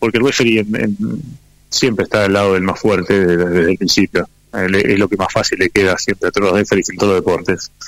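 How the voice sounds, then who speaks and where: A normal speaking voice moves at a fairly quick pace with fairly even intonation, very even loudness and a dry, close sound with no echo. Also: man, fairly low pitch for a man. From Necochea, Argentina. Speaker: professional rugby player. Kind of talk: interview.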